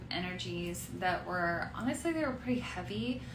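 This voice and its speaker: A woman talks with audible room echo and noticeable background noise. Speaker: tarot reader. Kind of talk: tarot reading. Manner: casual, hesitant with fillers.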